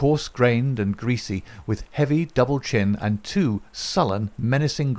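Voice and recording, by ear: This clip has a person reading aloud in a natural voice.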